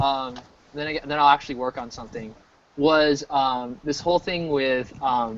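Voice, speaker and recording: This is an ordinary speaking voice with an American accent. The pace is moderate. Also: man. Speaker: game artist livestreaming work. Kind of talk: casual chat.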